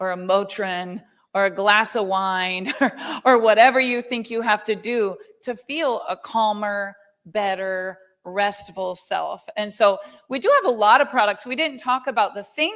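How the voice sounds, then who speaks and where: A woman talks at a fairly slow pace with a medium pitch. Hers is an ordinary speaking voice, with ordinary pitch variation. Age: 50s. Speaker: network marketing company leader. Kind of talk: sales pitch.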